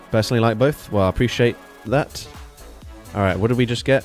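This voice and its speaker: Music plays in the background as a man talks at a very fast pace. His voice sits at medium pitch, with ordinary pitch variation and very even loudness. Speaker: streamer. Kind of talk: casual.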